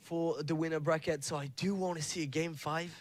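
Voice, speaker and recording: Speaking at a moderate pace, a man with a French accent has a high-pitched voice. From France. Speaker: esports commentator. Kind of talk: live commentary.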